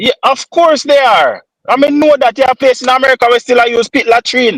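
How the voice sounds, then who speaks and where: An animated speaker moves at a fairly quick pace with very even loudness, the sound dry and close with no echo. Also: man, extremely high pitch for a man. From Jamaica. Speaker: podcast co-host. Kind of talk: casual chat. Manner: animated, repetitive stammering.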